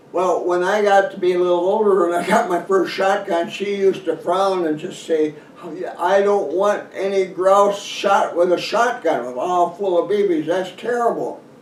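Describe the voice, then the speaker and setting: There is audible room echo and noticeable background noise. The speaker keeps a moderate pace with fairly even intonation. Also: man, high pitch for a man. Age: 80s+. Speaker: hunting author. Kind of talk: casual talk to camera. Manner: halting.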